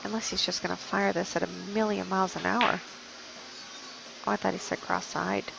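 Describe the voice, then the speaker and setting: A soft-spoken woman with long, frequent pauses over music in the background. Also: fairly quick pace, very even loudness. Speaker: pool match commentator. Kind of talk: live commentary.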